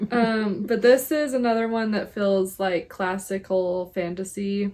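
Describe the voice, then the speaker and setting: A woman's normal speaking voice at medium pitch, with an American accent. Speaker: book podcast co-host. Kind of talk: casual chat.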